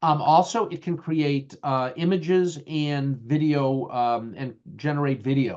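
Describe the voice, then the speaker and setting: The man talks with a strong Boston accent. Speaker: IT leadership educator. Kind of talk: lecture. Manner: halting, many fillers.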